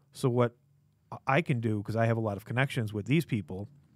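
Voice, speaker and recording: Medium-pitched male speech with ordinary pitch variation on a very clean recording with a silent background. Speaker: comic shop podcast host. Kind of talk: casual chat. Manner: fast.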